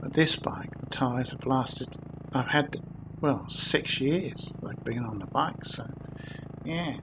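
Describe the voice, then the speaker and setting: Against noticeable background noise, a man talks very slowly at a medium pitch, with ordinary pitch variation. He takes long, frequent pauses, and his volume rises and falls sharply. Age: 60s. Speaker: motorcycle vlogger. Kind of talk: casual vlog narration. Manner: halting.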